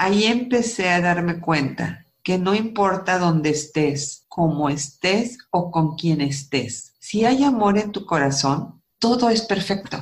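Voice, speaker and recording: A woman speaks very slowly with hardly any pauses and very even loudness. Her fairly low, somewhat breathy voice has lively intonation. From northern Mexico, Coahuila. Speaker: architect and author. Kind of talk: testimony.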